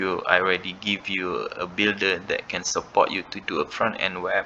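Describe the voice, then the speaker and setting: A man with a non-native accent at a moderate pace, noticeable background noise around him. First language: not English. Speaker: crypto trading bot developer. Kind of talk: screen-recorded tutorial. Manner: halting.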